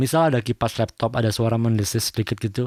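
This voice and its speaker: A man talks at a very fast clip. The recording is very clean, with a silent background and a dry, close sound free of echo. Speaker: audio tutorial youtuber. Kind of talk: tutorial.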